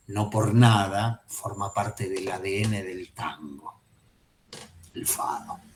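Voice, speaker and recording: There is audible room echo around this voice. A man speaks with a fairly low pitch. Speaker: psychoanalysis teacher. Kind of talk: lecture.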